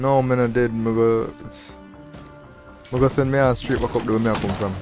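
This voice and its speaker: Monotone, flat intonation at a fairly quick pace, with music in the background. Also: man, medium pitch for a man. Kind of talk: casual gaming livestream chat.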